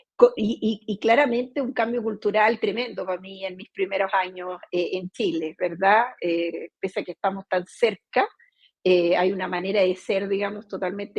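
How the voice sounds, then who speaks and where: Recorded dry and close with no echo, a woman talks at a fairly slow pace, medium in pitch, with fairly even intonation. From Brazil. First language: Portuguese (speaking Spanish). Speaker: company CEO. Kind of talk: interview. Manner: hesitant, many fillers.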